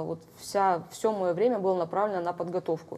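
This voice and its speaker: Fairly low-pitched woman's voice with a dark, mellow tone and fairly even intonation. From Kamchatka, Russia. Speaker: hand-to-hand combat world champion; guest. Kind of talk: studio interview. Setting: TV studio. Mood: calm, slightly reflective. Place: studio. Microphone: lapel.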